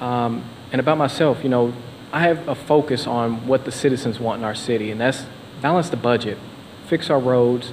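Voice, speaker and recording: A man with a western Kentucky accent at a fairly quick pace, ordinary pitch variation and noticeable background noise. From Paducah, Kentucky. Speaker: mayoral candidate. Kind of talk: debate closing statement.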